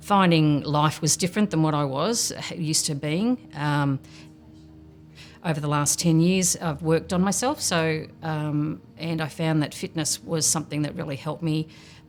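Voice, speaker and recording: A woman with an Australian accent, very deep and low in pitch, with ordinary pitch variation at a moderate pace, with music in the background. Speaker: program participant and mentor. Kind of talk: documentary interview.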